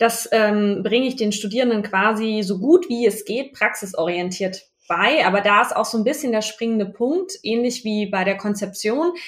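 Speaking at a moderate pace with hardly any pauses, a woman uses a fairly high pitch. Her pitch variation is ordinary, and there is noticeable background noise. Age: 30s. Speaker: business owner and university lecturer. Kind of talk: casual interview. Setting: in person, recorded side by side.

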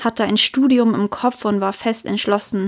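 A woman speaks at a fairly slow pace in a fairly high pitch, her intonation flat and monotone. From Germany. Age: 20s. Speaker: podcast host. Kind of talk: personal storytelling monologue.

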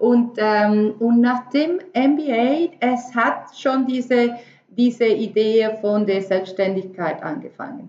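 A woman with a fairly high voice speaks at a very slow pace. Her pitch variation is ordinary. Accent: Spanish. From Venezuela. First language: Spanish (speaking German). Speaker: entrepreneur. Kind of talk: interview. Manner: halting, many fillers.

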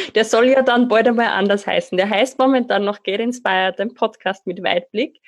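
A woman with an Austrian accent, fairly even intonation and a moderate pace. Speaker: life coach and trainer. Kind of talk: interview.

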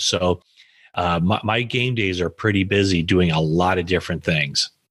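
A man's very deep, low voice in an American accent, at a moderate pace with fairly even intonation, over a quiet background. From US. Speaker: sports journalist. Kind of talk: interview.

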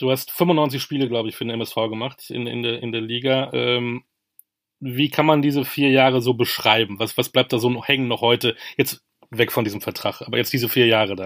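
A normal speaking voice from a man, medium in pitch, at a moderate pace with fairly even intonation. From Münster, Germany. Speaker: podcast host. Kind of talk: interview.

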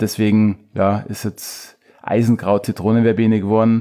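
A man's fairly low, dark and mellow voice on a very clean recording with a silent background. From Chiemgau, Bavaria, Germany. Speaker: beard-care product maker. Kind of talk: casual interview. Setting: host's living room.

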